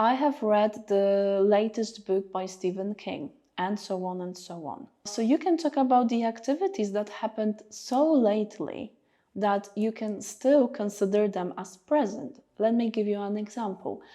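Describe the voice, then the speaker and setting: A woman with a Polish accent talks at a fairly slow pace, her fairly high voice carrying a dark, mellow tone and ordinary pitch variation. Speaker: English teacher. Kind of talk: tutorial. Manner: hesitant, many fillers.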